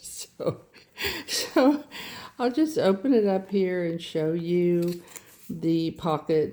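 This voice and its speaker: Lively intonation comes through in a voice with an American accent. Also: woman. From US Midwest, Indiana. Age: 80s+. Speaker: crafting YouTuber. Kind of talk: casual show-and-tell tutorial. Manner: halting, self-correcting.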